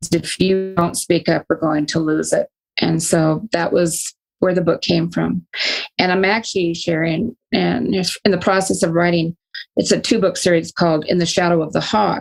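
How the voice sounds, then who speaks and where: With an American accent, a woman talks at a fairly low pitch with vocal fry and fairly even intonation. Her loudness stays very even. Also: moderate pace. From Northern California. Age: 60s. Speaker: retired psychologist and author. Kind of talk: interview.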